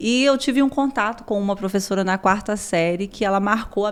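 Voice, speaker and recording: A woman speaks at a medium pitch and a moderate pace with lively intonation. The recording is very clean, with a silent background. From São Paulo, Brazil. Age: 30s. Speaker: school director and family therapist. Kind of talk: podcast interview.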